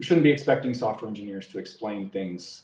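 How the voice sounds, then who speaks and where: A man's dark, mellow, somewhat breathy voice at a very fast pace. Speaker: security engineering leader, conference speaker. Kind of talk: conference talk. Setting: virtual conference.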